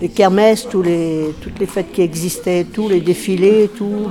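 A woman at medium pitch and a moderate pace, fairly even intonation, noticeable background noise. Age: old. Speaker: senior resident sharing local memories. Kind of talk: interview.

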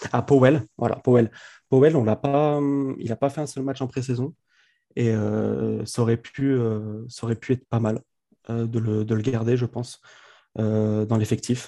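Against a quiet background, a man with a dark, mellow tone and medium pitch speaks at a fairly slow pace with fairly even intonation and long, frequent pauses, in a dry, close sound with no echo. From France, Grenoble. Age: 20s. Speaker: sports fan account manager. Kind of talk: casual chat.

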